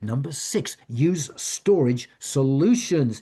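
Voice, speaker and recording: Against a quiet background, a man's fairly high, somewhat breathy voice has a dark, mellow tone. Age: 70s. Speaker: author and retired professor giving a wellness talk. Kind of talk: talk. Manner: halting.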